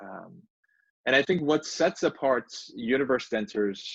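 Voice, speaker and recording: A man speaks in a Turkish accent at a medium pitch and moderate pace. His intonation is lively, and the background is quiet. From Turkey (Istanbul). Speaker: law professor and author. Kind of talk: book talk presentation.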